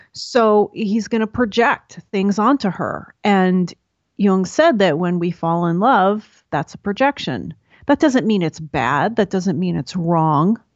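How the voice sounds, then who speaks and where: A woman with an American accent speaks at a very slow pace. Her medium-pitched voice has lively intonation. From New York. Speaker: podcast host and Jungian enthusiast. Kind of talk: interview conversation.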